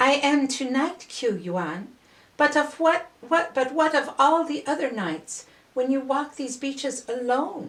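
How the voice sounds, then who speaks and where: At a fairly slow pace, a woman performs a high-pitched, put-on character voice. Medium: read story.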